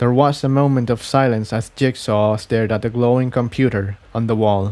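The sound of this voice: A man's medium-pitched voice with a slightly mellow tone and fairly even intonation. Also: moderate pace.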